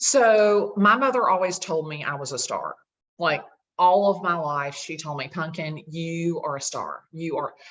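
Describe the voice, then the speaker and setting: A woman with a strong Southern US accent speaks at a fairly low pitch and a fairly slow pace. Her loudness swings widely. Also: lively intonation. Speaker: realtor. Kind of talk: casual chat. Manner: animated.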